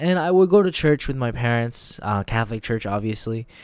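A man talks with a plain, everyday voice at medium pitch. His intonation is lively. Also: very clean recording, silent background. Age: 20s. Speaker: podcast host. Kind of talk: personal testimony monologue. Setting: home during quarantine.

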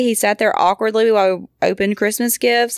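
An ordinary speaking voice from a woman with an American accent, fairly high in pitch, at a moderate pace, in a dry, close sound with no echo. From Georgia, US. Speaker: podcast host, mother. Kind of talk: casual chat.

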